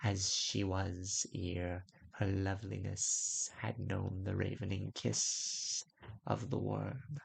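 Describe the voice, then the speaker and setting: A man's put-on character voice, fairly low in pitch, very slow and hissing. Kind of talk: weird fantasy audiobook. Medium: read story. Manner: slow, measured, sibilant.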